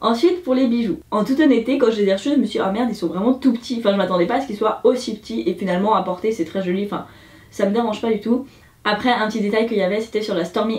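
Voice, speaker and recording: Background noise is noticeable as a woman talks at a very fast pace. Her fairly high pitch shows ordinary variation. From Switzerland. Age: 20s. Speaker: beauty YouTuber. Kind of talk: casual review talk to camera.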